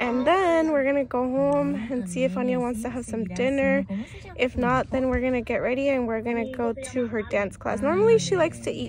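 Speaking at a fairly quick pace with ordinary pitch variation, a woman with a high pitch sounds dry with no echo over noticeable background noise. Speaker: mother vlogger. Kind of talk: casual vlog chat. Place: car. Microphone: phone near.

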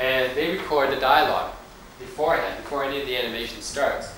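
A man speaks fairly quickly amid audible room echo and light background noise. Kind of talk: lecture. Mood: friendly, lightly humorous. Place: classroom. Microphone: old recording.

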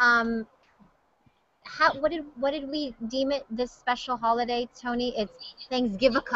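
Speaking at a fairly slow pace, a woman uses a high pitch and fairly even intonation, recorded dry with no echo over a quiet background. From Hawaii. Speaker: TV news host; news host. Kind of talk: casual chat. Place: office. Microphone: webcam.

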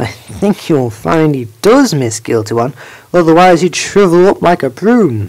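Putting on a character voice, a woman speaks at a moderate pace with a very deep, low pitch and very wide pitch swings. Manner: exasperated.

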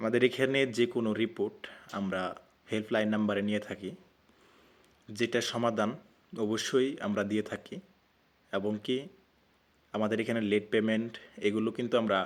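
A man's fairly low pitch and fairly even intonation come through in a normal speaking voice. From Bangladesh, Mymensingh (Muktagacha). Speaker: online telecom offer group admin, YouTuber. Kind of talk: casual talk to camera.

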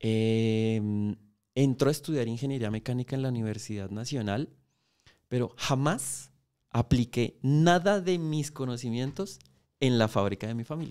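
Fairly slow speech from a man, set against a quiet background. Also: ordinary pitch variation. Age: 40s. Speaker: motorcycle mechanic and YouTuber; YouTuber. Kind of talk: interview conversation. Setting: podcast studio. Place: studio. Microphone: studio mic.

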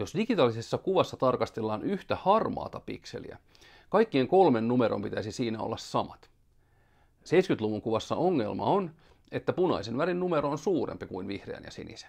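A man at a moderate pace, with very wide pitch swings and big swings in loudness, against a quiet background. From Finland. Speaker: science educator. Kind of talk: scripted educational explainer. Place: studio. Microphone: headset.

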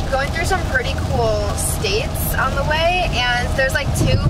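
A woman's voice against loud background noise. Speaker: vlogger. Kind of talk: casual vlog chat. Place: car. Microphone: phone near.

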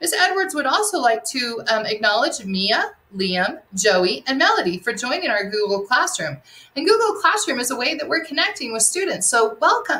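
At a moderate pace, a woman uses a raised, projected voice with very wide pitch swings. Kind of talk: announcements to students. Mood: warm, encouraging. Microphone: webcam.

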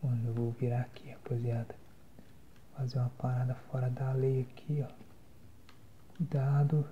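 Against light background noise, a man talks at a fairly slow pace with monotone, flat intonation. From Brazil. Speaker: ASMR and gaming content creator. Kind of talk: casual talk to camera while gaming. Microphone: phone near.

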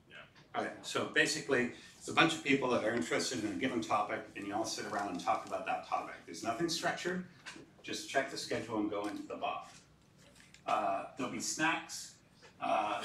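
Fairly quick speech from a man, with light background noise and audible room echo. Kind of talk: announcements to audience. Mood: relaxed, joking. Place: classroom.

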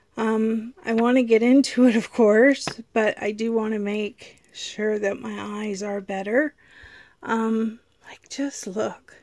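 A woman speaks very slowly in a fairly high, flat monotone. The sound is dry with no echo. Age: 50s. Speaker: YouTube vlogger. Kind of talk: casual vlog talk to camera. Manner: hesitant, many fillers. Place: home room. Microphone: phone near.

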